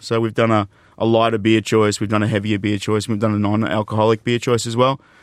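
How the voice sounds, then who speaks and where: Speaking at a very fast pace, a man has a fairly low pitch and an Australian accent. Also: dry, close sound with no echo. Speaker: beverage company executive. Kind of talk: interview. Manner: animated.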